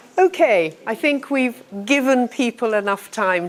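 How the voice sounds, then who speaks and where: The speaker is a woman with a British accent. There is noticeable background noise. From United Kingdom. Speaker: teacher trainer. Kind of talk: lecture. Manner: slow.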